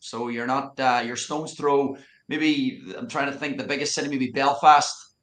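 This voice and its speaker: Speaking in a Donegal Irish accent, a man with a fairly high pitch keeps a moderate pace and a monotone, flat intonation. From Ireland, County Donegal. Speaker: youth soccer coach. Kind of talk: casual interview.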